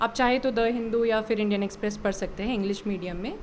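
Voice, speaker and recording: A woman talks with fairly even intonation at a fairly high pitch. It is a normal speaking voice. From Bihar, India. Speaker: civil services exam qualifier, government officer. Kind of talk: interview answer.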